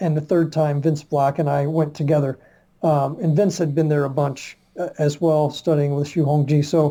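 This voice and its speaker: In an American accent, a man speaks at a moderate pace with a fairly high pitch, a dark, mellow, somewhat breathy tone and monotone, flat intonation. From Virginia, US South. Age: 60s. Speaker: martial arts researcher and publisher. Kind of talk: podcast interview. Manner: halting, many fillers.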